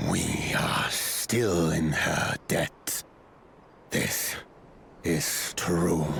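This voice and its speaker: A man's put-on character voice, growling and very deep, at a very slow pace with long, frequent pauses over clear background noise. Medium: game stream. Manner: blunt, stern.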